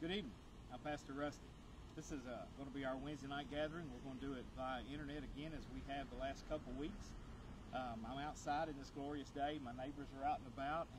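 Against noticeable background noise, a man talks at a very fast pace with fairly even intonation, the sound dry with no echo. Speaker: pastor. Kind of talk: sermon. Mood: warm, encouraging. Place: garden.

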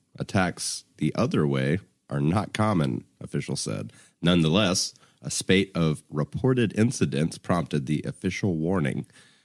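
Vocal fry and very wide pitch swings mark this man's fairly slow speech, heard as a dry, close sound with no echo. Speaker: podcast co-host. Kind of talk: casual chat. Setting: studio recording booth.

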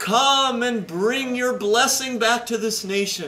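Raising and projecting his voice, a man speaks at a fairly slow pace with ordinary pitch variation. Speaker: pastor. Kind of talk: sermon. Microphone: camera far.

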